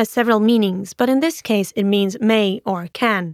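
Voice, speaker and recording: A woman in a normal speaking voice talks at a fairly slow pace and fairly high pitch, with ordinary pitch variation and a dry, close sound lacking echo. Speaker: Danish language teacher. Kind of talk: tutorial.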